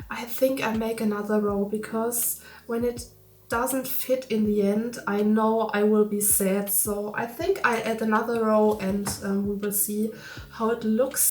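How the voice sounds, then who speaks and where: Noticeable background noise and audible room echo around a woman with a German accent, a fairly high pitch, monotone, flat intonation and a fairly slow pace. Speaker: crafting youtuber. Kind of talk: tutorial vlog. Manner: halting.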